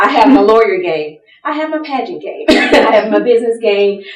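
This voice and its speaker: A woman speaks at a fairly quick pace with a Southern US accent, her fairly high voice carrying lively intonation over noticeable background noise. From US South. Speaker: lawyer and pageant titleholder speaker. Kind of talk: seminar talk.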